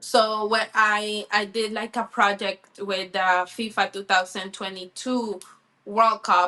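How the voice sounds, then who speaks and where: With a Spanish accent, a woman speaks very slowly in a bright, sharp tone and a monotone, flat intonation. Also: medium pitch for a woman. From Colombia. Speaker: sports reporter. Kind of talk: interview.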